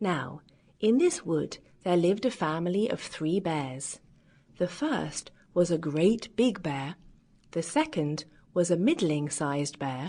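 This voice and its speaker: Using lively intonation and a warm tone, a woman with a fairly low pitch speaks at a fairly slow pace with long, frequent pauses. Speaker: audiobook narrator. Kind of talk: children's fairy tale audiobook narration. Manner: warm, lively.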